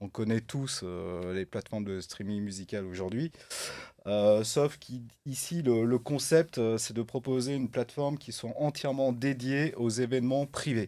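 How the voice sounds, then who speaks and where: The recording is very clean, with a silent background. A man with a dark, mellow tone and medium pitch speaks at a fairly slow pace. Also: ordinary pitch variation. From France, Saint-Étienne (Loire). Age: 50s. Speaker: entrepreneur. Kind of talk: podcast interview. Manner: hesitant, many fillers.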